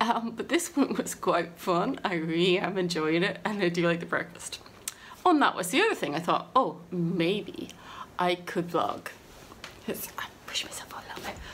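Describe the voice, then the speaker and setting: Light background noise sits behind a woman who talks at a moderate pace with ordinary pitch variation. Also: big swings in loudness. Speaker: book vlogger. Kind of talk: casual vlog chat. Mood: cheerful, laughing often. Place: home room. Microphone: phone near.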